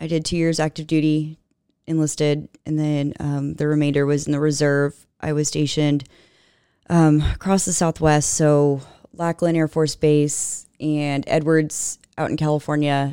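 In an American accent, a woman speaks with a very deep, low pitch and a dark, mellow tone. Her pace is fairly slow and her intonation monotone and flat. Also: very clean recording, silent background. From Texas, Katy (Houston area). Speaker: energy nonprofit director, former congressional staffer. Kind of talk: interview.

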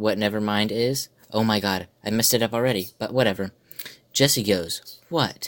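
An unforced voice does the reading in this clip.

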